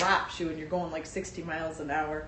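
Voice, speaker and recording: A woman is speaking in a space with audible room echo. Background noise is noticeable. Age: 60s. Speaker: vlogger. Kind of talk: personal vlog monologue.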